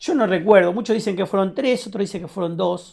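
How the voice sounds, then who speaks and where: A man with a high pitch, ordinary pitch variation and a dark, mellow tone speaks against a quiet background. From Buenos Aires, Argentina (Lomas de Zamora, Temperley); Buenos Aires, Argentina. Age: 60s. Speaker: war veteran. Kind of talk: testimony. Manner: halting. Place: studio.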